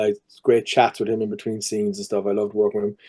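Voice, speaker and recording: A man with a fairly low pitch speaks with a Cork accent. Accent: Cork Irish. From Ireland, Cork. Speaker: actor. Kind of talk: casual chat. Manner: animated.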